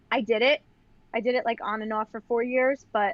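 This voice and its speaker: A woman talks with a Long Island accent. Her pace is fairly quick. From Long Island, New York. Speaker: professional dancer and educator. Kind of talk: casual interview chat. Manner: chatty, many fillers like 'like'.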